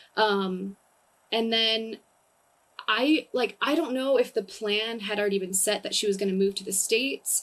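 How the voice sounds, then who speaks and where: With a Californian accent, a woman speaks at a moderate pace. Her fairly high voice shows ordinary pitch variation. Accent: Californian American English. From US, Southern California. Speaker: comedian. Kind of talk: casual chat.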